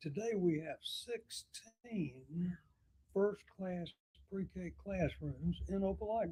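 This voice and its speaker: A man with an Alabama accent at a very slow pace. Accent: Southern US (Alabama). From US South. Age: 80s+. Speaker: retired mayor. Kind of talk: talk show interview. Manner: halting, repeats words.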